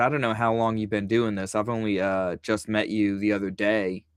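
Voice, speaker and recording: The background is silent and the recording very clean. Here a man talks with an American accent. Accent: Southern, varies. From Virginia. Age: 50s. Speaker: comic book creator. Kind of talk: casual chat.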